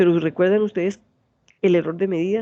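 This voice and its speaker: A woman speaks with a strong Santander Colombian accent. Her voice has a medium pitch and a dark, mellow tone. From Colombia, Santander. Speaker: university lecturer. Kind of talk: lecture. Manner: fast.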